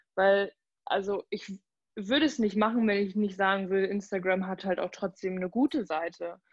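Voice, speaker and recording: This woman has a plain, everyday voice at a medium pitch with ordinary pitch variation. She talks at a moderate pace in a dry, close sound with no echo. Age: 20s. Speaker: social welfare office worker and Instagram creator. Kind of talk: casual interview chat.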